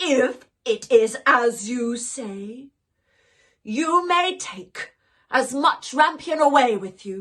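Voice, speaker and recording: At a very slow pace, the speaker performs in a put-on character voice. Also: woman, high pitch for a woman. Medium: read story. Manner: stern, commanding.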